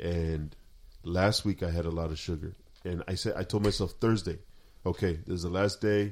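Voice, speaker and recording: A man with a very deep, low pitch at a moderate pace. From Sinaloa, Mexico. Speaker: podcast co-host. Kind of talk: casual chat. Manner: loud.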